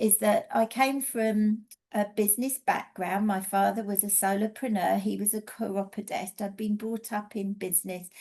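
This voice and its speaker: A woman with an English accent speaks at a moderate pace and medium pitch in a dark, mellow tone, with fairly even intonation and hardly any pauses. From England. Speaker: energy healing teacher and mentor. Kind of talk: casual presentation.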